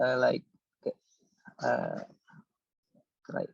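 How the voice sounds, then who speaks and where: A man with an Indonesian accent comes through in a dry, close sound with no echo. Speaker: audience member asking questions. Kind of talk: Q&A discussion. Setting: online meeting. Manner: halting.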